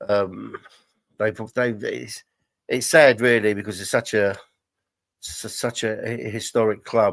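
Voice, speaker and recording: A man with a London accent speaks at a fairly low pitch in a very clean recording with a silent background. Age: 60s. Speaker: football podcast co-host. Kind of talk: casual chat. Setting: live stream. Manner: halting.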